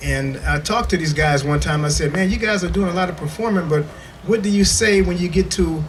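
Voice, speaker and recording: Fairly high male voice at a fairly quick pace with ordinary pitch variation, plus audible room echo and noticeable background noise. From US Midwest, Toledo, Ohio. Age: 60s. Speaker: music historian and preserver. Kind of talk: workshop presentation. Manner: casual, conversational.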